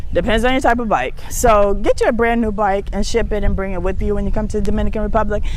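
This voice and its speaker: Over noticeable background noise and audible room echo, a woman with a fairly high pitch talks at a very fast pace, with hardly any pauses and ordinary pitch variation. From United States. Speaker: talk show host. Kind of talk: casual monologue to viewers.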